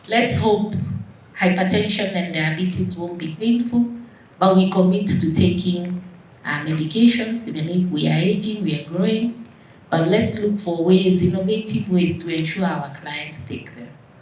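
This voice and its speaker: With audible room echo, a woman at medium pitch speaks at a moderate pace, her pitch varying in an ordinary way and her loudness swinging widely. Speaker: doctor, conference speaker. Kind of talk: closing conference speech.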